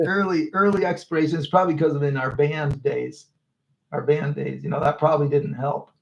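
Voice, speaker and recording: A somewhat breathy man with a fairly high pitch speaks at a fairly quick pace with fairly even intonation. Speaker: muralist painting live. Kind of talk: casual chat. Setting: live stream.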